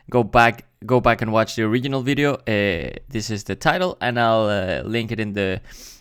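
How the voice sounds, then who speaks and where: A moderate pace in a Spanish accent, with ordinary pitch variation, on a very clean recording with a silent background. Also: man. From Mexico. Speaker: YouTube reactor. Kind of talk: casual commentary.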